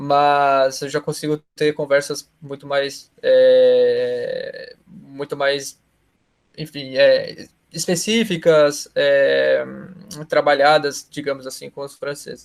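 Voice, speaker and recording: Speaking at a very slow pace, a man lets his loudness swing widely. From Brazil. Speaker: exchange student. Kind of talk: interview. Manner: halting.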